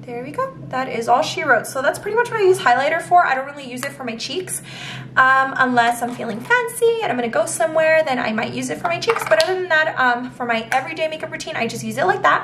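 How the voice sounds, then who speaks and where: A woman talks at a fairly quick pace with a high pitch and lively intonation. Her loudness swings widely over noticeable background noise. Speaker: beauty vlogger. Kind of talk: tutorial. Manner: casual, filler-heavy.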